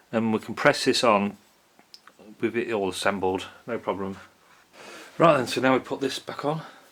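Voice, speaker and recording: The speech moves at a moderate pace with long, frequent pauses and ordinary pitch variation. Noticeable background noise sits behind it. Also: man, medium pitch for a man. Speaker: DIY mechanic. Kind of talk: tutorial. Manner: casual, halting.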